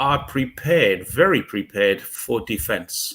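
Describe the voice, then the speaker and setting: The speaker has an English accent and a fairly slow pace. Vocal fry runs through the voice. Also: man. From England. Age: 60s. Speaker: expat commentator. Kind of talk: casual chat. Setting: livestream.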